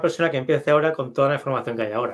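A man speaks with ordinary pitch variation. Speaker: investment author. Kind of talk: interview.

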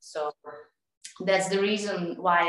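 A woman with a Serbian accent. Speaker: tennis coach and amateur painter. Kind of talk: interview. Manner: halting.

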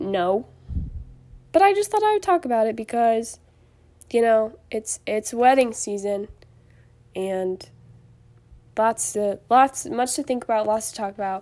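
Pausing long and often, a woman talks at a fairly slow pace with ordinary pitch variation. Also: fairly high pitch for a woman. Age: 20s. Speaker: podcast host. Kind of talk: casual solo monologue. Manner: hesitant, many fillers.

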